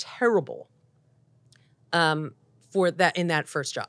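A woman with an American accent and a fairly low pitch. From US Northeast, Philadelphia. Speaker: TV showrunner and producer. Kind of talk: interview conversation. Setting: podcast interview.

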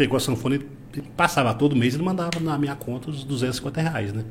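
The somewhat breathy voice moves at a moderate pace, with audible room echo. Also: man. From Paraná, Brazil (Cascavel). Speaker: business owner. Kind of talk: casual interview.

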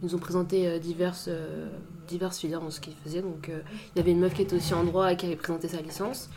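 Against noticeable background noise and audible room echo, a woman talks at a medium pitch. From Paris suburbs, France (Saint-Maur). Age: 20s. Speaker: law student. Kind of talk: casual chat.

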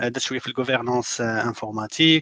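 A man at a medium pitch talks at a fairly quick pace, with a dry, close sound and no echo. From Morocco. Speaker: Oracle manager in recruiting. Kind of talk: panel discussion giving interview advice.

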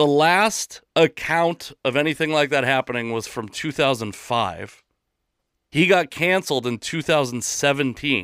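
A man with an unremarkable speaking voice, lively intonation and a fairly slow pace, on a very clean recording with a silent background. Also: fairly high pitch for a man, dry, close sound with no echo. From Seattle, US Pacific Northwest. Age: 30s. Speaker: podcast host and comedian. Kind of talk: casual chat.

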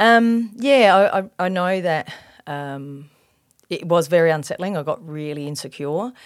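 A woman with an Australian accent speaks at a fairly low pitch and a fairly slow pace. Her intonation is lively with big swings in loudness, on a very clean recording with a silent background. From Australia, Adelaide northern suburbs (Elizabeth, Salisbury). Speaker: police officer sharing faith testimony. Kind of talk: testimony. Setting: podcast interview. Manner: hesitant, many fillers.

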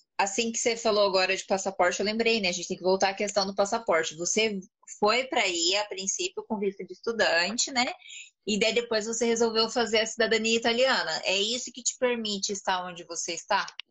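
In an unremarkable speaking voice, the speaker moves at a fairly quick pace with ordinary pitch variation. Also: woman, fairly high pitch for a woman. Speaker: live stream host and Portuguese teacher. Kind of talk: casual live stream interview.

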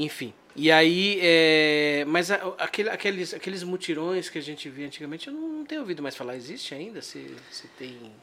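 With an unremarkable speaking voice, a man talks at a moderate pace and a fairly high pitch. His loudness swings widely, and his pitch varies in an ordinary way. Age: 40s. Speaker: podcast host. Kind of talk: casual chat.

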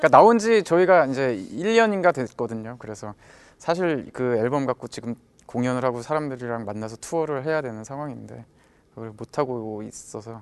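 Speaking at a moderate pace over a quiet background, a man with a medium pitch and an unremarkable speaking voice shows lively intonation and big swings in loudness. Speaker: band leader and guitarist. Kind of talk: casual chat.

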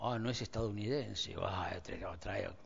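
At a moderate pace, a speaker with an Argentine accent is heard with audible room echo. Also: man. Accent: Rioplatense Argentine Spanish. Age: 60s. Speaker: pastor. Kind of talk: sermon.

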